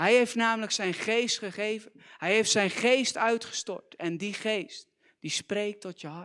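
A man with a high pitch and a bright, sharp tone speaks at a very slow pace with big swings in loudness, against a quiet background. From Netherlands, near Gorinchem; Netherlands. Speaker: youth preacher. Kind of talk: sermon. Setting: church. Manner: animated. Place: church. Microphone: handheld.

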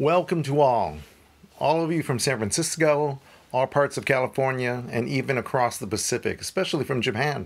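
At a moderate pace, a male speaker talks with ordinary pitch variation. He has an ordinary speaking voice, pitched at a medium level. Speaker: worship leader. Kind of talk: prayer. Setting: church.

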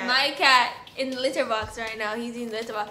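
A woman's high-pitched voice in a Jamaican accent, monotone with flat intonation, at a fairly quick pace, with music in the background. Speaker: vlogger. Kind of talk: casual storytime talk to camera. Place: home room.

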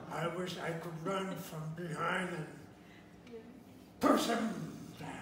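A man's put-on character voice, high-pitched and fairly slow, with a clear echo and clear background noise. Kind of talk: oral storytelling performance. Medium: read story. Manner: gruff, grumbling. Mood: grudging.

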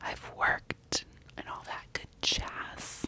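A soft-spoken woman whispers in a dry sound with no echo. Loud background noise runs underneath. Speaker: makeup vlogger. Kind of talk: casual ASMR-style makeup chat. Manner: soft close-mic ASMR whisper. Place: home room. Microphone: studio mic.

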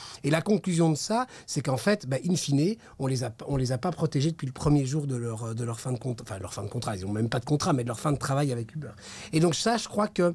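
Speaking at a fairly quick pace, a man uses a fairly high pitch, lively intonation and a somewhat breathy sound. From Brussels, Belgium. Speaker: regional MP, politician; politician. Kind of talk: political interview. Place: studio. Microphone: studio mic.

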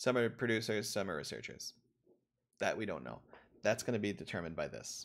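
Vocal fry from a man at a very fast pace, with ordinary pitch variation. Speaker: university economics professor. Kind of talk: lecture. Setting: video call. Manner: halting, filler-heavy.

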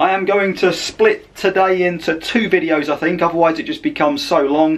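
This man has a high-pitched voice. His pitch varies in an ordinary way. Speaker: travel vlogger. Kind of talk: casual vlog chat. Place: home room. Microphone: phone near.

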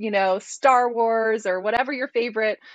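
A woman at a moderate pace with ordinary pitch variation, dry sound with no echo. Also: quiet background. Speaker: guest. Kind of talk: interview answer. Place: home room. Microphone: earbuds.

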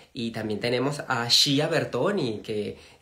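The man speaks at a very slow pace. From Venezuela. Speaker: interviewer, channel host. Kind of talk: live stream interview. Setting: live video stream. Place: home room. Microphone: phone near.

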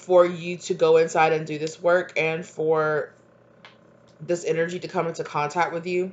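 With light background noise behind her, a woman talks at a moderate pace in a fairly low pitch. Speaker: tarot reader. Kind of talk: tarot reading monologue. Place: kitchen. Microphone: webcam.

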